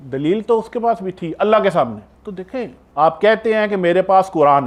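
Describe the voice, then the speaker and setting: A man's high-pitched voice, passionate in tone, with lively intonation. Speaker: Islamic scholar / preacher. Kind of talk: religious sermon (bayan). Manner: passionate, rhetorical, lecturing.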